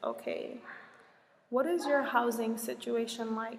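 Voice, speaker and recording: A woman's fairly high voice in an American accent, with fairly even intonation and audible room echo. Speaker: Peace Corps volunteer vlogger. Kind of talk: casual vlog Q&A. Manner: slow.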